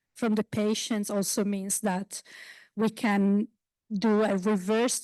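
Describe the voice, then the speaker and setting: A woman with an Italian accent speaks very slowly at a medium pitch in a monotone, flat intonation and a dark, mellow tone. The sound is dry and close with no echo, over a quiet background. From Italy. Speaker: basic researcher. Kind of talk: panel discussion. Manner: halting.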